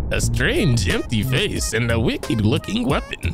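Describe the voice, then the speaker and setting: Over clear music in the background, a man does a strained, raspy, put-on character voice at a fairly slow pace. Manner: theatrical, mysterious fantasy character.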